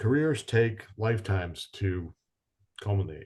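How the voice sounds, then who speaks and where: A man speaks in a somewhat breathy voice. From New England. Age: 50s. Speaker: business owner. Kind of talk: podcast interview.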